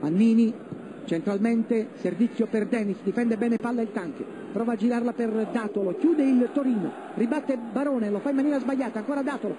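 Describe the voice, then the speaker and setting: The speech comes very fast in an excited tone. Noticeable background noise sits underneath. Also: man. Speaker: football commentator. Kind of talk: live sports match commentary. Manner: fast, excited.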